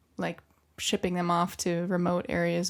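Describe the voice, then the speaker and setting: With an American accent, a woman speaks at a moderate pace in a very clean recording with a silent background. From US, New York and Kauai. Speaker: podcast co-host. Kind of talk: casual chat. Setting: sauna.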